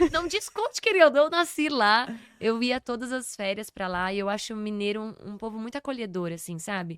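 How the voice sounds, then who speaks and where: A woman speaks in an ordinary speaking voice at a fairly high pitch and moderate pace. Her intonation is lively, with big swings in loudness. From São Paulo, Brazil. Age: 30s. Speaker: podcast guest, performer and speaker. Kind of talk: casual interview chat.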